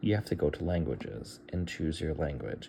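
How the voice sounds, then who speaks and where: Male voice with a dark, mellow tone and vocal fry. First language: Bulgarian. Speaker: tech tutorial youtuber. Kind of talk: tutorial. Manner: casual, thinking aloud with fillers.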